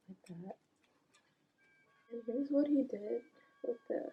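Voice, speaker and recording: Music plays in the background while a woman speaks quietly at a very slow pace. Her pitch is fairly high, with ordinary pitch variation. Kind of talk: casual talk to camera. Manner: quiet, voice kept down.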